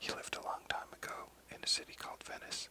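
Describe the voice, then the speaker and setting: Whispering at a fairly quick pace, a man is heard in a dry, close sound with no echo, with noticeable background noise. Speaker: ASMR reader / narrator. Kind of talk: whispered audiobook reading of a children's story. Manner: whispered, soft-spoken.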